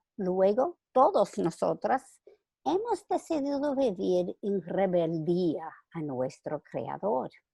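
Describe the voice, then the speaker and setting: Speaking at a very slow pace in a non-native accent, a woman uses a dark, mellow tone with very wide pitch swings against a quiet background. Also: dry, close sound with no echo. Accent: foreign accent in Spanish. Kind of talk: religious talk read from manuscript. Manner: reading closely from script, occasional stumbles.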